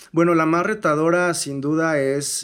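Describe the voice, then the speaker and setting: A man's fairly even intonation carries words delivered very slowly. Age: 20s. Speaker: artist manager. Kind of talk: casual chat. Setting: studio.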